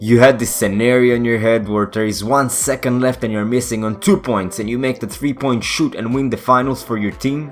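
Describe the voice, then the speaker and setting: Music in the background behind a man at a medium pitch, with ordinary pitch variation and a fairly quick pace. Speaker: gaming tutorial maker. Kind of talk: game tutorial voice-over.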